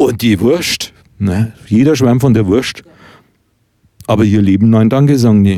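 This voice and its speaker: Speaking with an Upper Franconian accent, a man talks at a fairly slow pace with long, frequent pauses, his dark, mellow voice at medium pitch with ordinary pitch variation and very even loudness. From Oberkotzau, Upper Franconia. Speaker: podcast host and author. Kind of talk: casual chat. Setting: recorded at guest's home.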